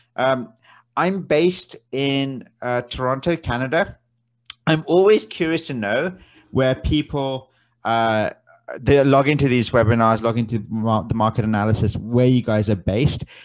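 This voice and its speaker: Someone with an English accent speaks at a moderate pace with lively intonation. The background is quiet. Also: man, medium pitch for a man. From South London, England. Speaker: forex trading educator. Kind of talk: webinar presentation. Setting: online webinar on Zoom. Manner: halting, many fillers.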